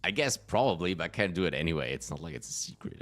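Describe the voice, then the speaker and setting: A man speaks very fast with a very deep, low pitch and vocal fry. The recording is very clean, with a silent background. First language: German. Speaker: gaming streamer. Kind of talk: live gameplay commentary. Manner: halting, frequent fillers.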